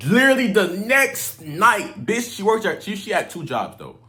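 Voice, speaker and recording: In a room with audible echo, a man speaks in an animated tone. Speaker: dating advice youtuber. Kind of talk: casual storytelling.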